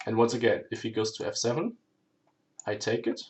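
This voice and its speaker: The speech moves at a fairly quick pace with a German accent. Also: man. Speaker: chess streamer. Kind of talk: live game commentary. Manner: halting, self-correcting; hurried.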